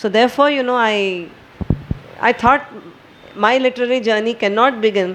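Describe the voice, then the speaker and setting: The woman here keeps a moderate pace. There is noticeable background noise. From India (Maharashtra). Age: 60s. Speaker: poet and retired banker. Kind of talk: talk at a poetry gathering.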